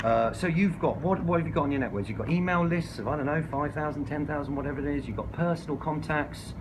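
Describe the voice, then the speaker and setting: Over noticeable background noise and audible room echo, a man talks at a very fast pace in a fairly high pitch with hardly any pauses. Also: ordinary pitch variation. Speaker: squatter activist and campaign adviser. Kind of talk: workshop talk. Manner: animated.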